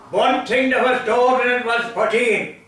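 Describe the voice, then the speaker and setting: In an Irish accent, a man uses a raised, projected voice at an extremely high pitch. He talks at a fairly slow pace in a monotone, flat intonation, with audible room echo. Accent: rural Irish (Limerick). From Ireland, County Limerick. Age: 80s+. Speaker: storyteller. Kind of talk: storytelling.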